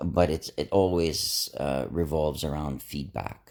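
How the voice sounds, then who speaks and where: With vocal fry and a relaxed tone, the speaker goes at a fairly slow pace with ordinary pitch variation. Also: man. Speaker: inspirational vlogger. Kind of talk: casual motivational talk. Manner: relaxed, low-key.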